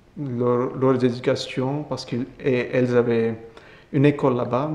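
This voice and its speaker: A man with an Indian accent, medium-pitched and flat in intonation, over noticeable background noise. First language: Indian language (speaking French). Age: 20s. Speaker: Capuchin friar. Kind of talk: testimony interview. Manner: halting.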